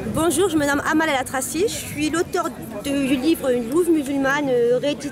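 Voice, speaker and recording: A woman's high-pitched voice at a moderate pace, with ordinary pitch variation, audible room echo and music in the background. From Morocco. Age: young. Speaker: author. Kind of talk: interview.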